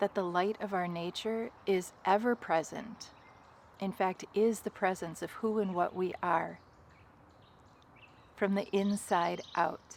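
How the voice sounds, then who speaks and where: Soft-spoken and at medium pitch, a woman talks at a very slow pace with fairly even intonation and long, frequent pauses. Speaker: spiritual guide. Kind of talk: guided meditation. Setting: outdoors.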